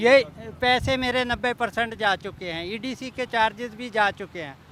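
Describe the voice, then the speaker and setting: A man speaks at an extremely high pitch, with a bright, sharp tone. His pitch varies in an ordinary way, while his loudness swings widely. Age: 70s. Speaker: plot buyer, residents' association member. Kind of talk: media interview, complaint.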